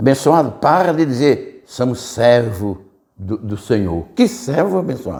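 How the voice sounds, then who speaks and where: A man speaks very slowly with vocal fry. His medium pitch makes very wide swings. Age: 70s. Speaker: preacher. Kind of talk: sermon.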